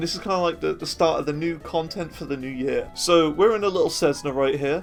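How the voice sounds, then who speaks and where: With music in the background, a man with a Birmingham accent and a high pitch talks at a very fast pace with ordinary pitch variation. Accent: Birmingham (Brummie) English. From Birmingham, England. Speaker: gaming streamer. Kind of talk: casual gameplay commentary.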